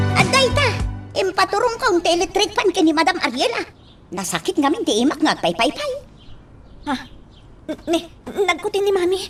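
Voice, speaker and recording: An extremely high-pitched put-on character voice, with long, frequent pauses and clear music in the background. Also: moderate pace. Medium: audio drama.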